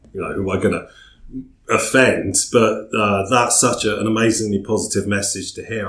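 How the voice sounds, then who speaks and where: With an English accent, a man talks at a fairly quick pace in a fairly low pitch and a monotone, flat intonation. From England. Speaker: podcast host. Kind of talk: casual interview chat.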